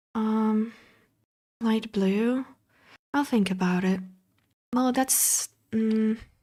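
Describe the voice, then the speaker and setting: Very slow speech with long, frequent pauses in a non-native accent, somewhat breathy and dark, mellow in tone, with fairly even intonation and very even loudness. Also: woman, fairly high pitch for a woman. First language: not English. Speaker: streamer. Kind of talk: casual chat. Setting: live stream. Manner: halting.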